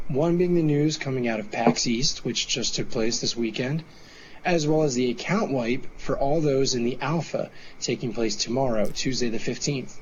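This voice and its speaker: A man of medium pitch speaks at a moderate pace, his pitch varying in an ordinary way, over noticeable background noise. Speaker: podcast host. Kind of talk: casual chat.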